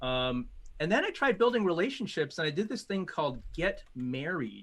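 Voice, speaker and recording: A man talks at a moderate pace in a high voice. His pitch swings very widely. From US Midwest (Illinois, Chicago suburbs). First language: Mandarin. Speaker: corporate strategist and speaker. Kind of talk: interview.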